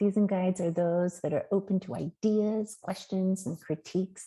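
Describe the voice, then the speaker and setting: Her tone is dark and mellow, and her voice is somewhat breathy. The woman speaks at a moderate pace with fairly even intonation. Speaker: Montessori teacher trainer. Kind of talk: webinar presentation. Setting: online webinar.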